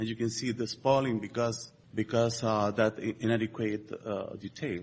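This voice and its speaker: A man speaks with a Spanish accent at a medium pitch. His voice is somewhat breathy, with a moderate pace. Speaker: structural engineer. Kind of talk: conference presentation. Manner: halting, many fillers.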